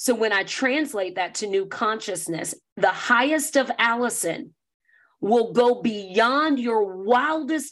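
Against a quiet background, a woman with an American accent and a fairly high pitch speaks at a fairly slow pace with ordinary pitch variation. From US South. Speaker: motivational speaker. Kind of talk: interview conversation.

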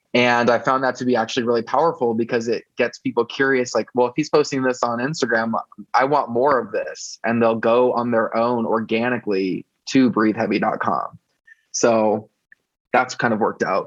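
A man uses a normal speaking voice at medium pitch, talking at a moderate pace with fairly even intonation. The sound is dry and close, with no echo. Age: 30s. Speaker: fan site founder and advocate. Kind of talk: interview.

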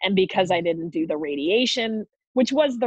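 An ordinary speaking voice moves at a moderate pace. Its intonation is lively. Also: woman. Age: 40s. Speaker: cancer survivor. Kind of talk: casual chat.

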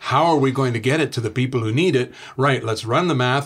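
A man with a Canadian accent has an unremarkable speaking voice of medium pitch and ordinary pitch variation. He talks at a fairly quick pace in a very clean recording with a silent background. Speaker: author. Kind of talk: interview.

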